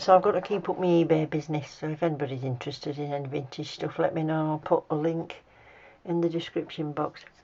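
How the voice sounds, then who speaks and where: A woman with a very deep, low voice and a dark, mellow tone speaks in an English accent. Her intonation stays fairly even as she talks at a very fast pace. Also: quiet background. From UK. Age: 60s. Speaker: nail art hobbyist YouTuber. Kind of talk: tutorial; casual chat. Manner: casual, chatty.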